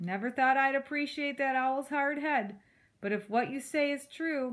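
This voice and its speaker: A woman puts on a character voice that is gruff yet high in pitch. She keeps a moderate pace with ordinary pitch variation. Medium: read story. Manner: gruff, growling.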